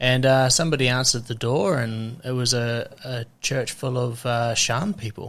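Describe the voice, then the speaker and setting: A man with a New Zealand accent speaks at a moderate pace and medium pitch, with hardly any pauses. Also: fairly even intonation. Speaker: podcast host. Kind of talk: casual interview. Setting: in-person podcast with microphones.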